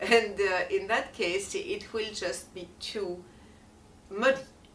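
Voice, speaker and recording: A woman speaks very slowly in a French accent. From France. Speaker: feng shui and color consultant. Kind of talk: talk to camera.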